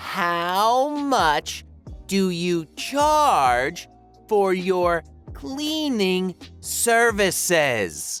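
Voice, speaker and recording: In a loud, put-on character voice at a middle pitch, the speaker talks at a very slow pace with very wide pitch swings, with faint music in the background. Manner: overly loud, extra slow, condescending.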